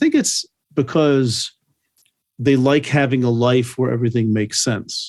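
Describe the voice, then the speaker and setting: A man speaks at a moderate pace in an ordinary speaking voice, his pitch sitting in the medium range. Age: 60s. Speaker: biblical scholar. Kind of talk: casual chat.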